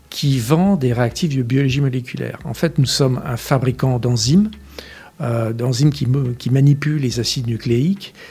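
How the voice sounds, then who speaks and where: A man speaks at a moderate pace with a medium pitch and ordinary pitch variation. His tone is dark and mellow, somewhat breathy. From France, Essonne (Paris region). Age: 60s. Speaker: company director. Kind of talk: interview. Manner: hesitant, many fillers.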